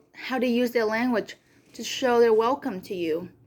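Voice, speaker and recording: A woman with a Vietnamese accent speaks at a fairly high pitch. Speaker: community college student. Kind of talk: class presentation speech. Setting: recorded video for online class. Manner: occasional stutter.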